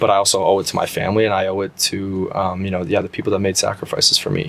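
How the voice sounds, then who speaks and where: Over noticeable background noise, a man with a Canadian accent speaks at a fairly low pitch. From Canada, Brampton Ontario. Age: 30s. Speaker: professional soccer player. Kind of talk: interview. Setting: studio. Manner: many fillers and repetitions.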